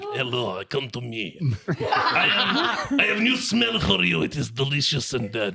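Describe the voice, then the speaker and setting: Amid loud background noise, a man in a put-on character voice speaks at a medium pitch. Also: moderate pace. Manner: creepy, enticing.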